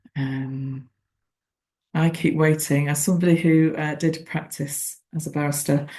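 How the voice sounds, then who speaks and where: Slow-paced and somewhat breathy, a woman speaks with a very deep, low pitch, a dark, mellow tone and monotone, flat intonation. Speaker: former barrister, webinar presenter. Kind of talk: webinar presentation. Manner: gentle, reflective.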